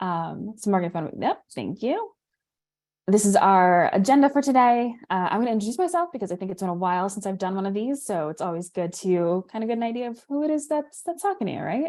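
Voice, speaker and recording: A woman with an American accent speaks at a fairly quick pace in a dark, mellow tone. Her medium pitch swings very widely. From New York. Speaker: insurance product manager. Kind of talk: webinar presentation. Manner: fast.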